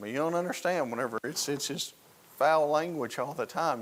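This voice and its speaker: With a Southern US accent, a man speaks at a moderate pace with vocal fry. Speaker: Sunday school teacher and police officer. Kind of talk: Sunday school lesson.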